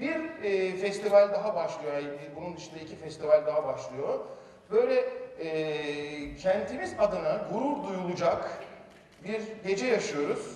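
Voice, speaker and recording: Audible room echo surrounds a man speaking at a fairly slow pace. His loudness swings widely. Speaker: speaker. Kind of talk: public talk to an audience. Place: stage.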